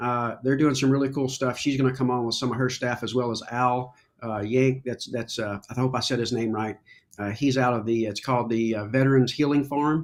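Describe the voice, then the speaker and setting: With an American accent, a man talks at medium pitch with fairly even intonation. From Kentucky, US. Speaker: veteran charity organizer and coffee business owner. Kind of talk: casual chat.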